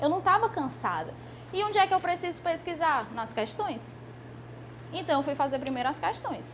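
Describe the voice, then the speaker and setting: Amid noticeable background noise, a woman speaks with long, frequent pauses. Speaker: law exam prep teacher. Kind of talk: lecture. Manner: fast.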